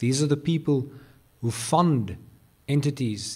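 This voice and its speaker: A man talks in a somewhat breathy voice. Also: very clean recording, silent background. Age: 30s. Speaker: business group CEO. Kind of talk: speech. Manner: halting.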